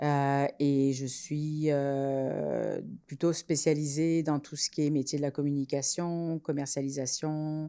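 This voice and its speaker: A woman speaks very slowly in a very deep, low voice of dark, mellow tone, monotone and flat, with hardly any pauses. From France. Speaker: entrepreneur, incubator co-founder. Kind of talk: podcast interview.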